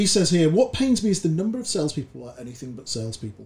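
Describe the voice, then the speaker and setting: A man with a British accent talks at a very fast pace in a somewhat breathy voice that makes very wide pitch swings. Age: 40s. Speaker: sales recruitment consultant, podcast co-host. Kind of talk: casual book discussion.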